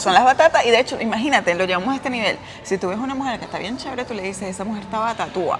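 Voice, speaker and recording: Music plays in the background as someone speaks at a very fast pace. The delivery has lively intonation and a Venezuelan accent. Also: woman, fairly high pitch for a woman. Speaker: travel vlogger. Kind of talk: casual conversation.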